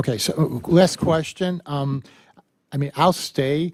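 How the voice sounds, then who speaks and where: A man speaks at a moderate pace with ordinary pitch variation, recorded dry and close with no echo. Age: 60s. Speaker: dentist applying for a license. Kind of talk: testimony at board hearing. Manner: halting.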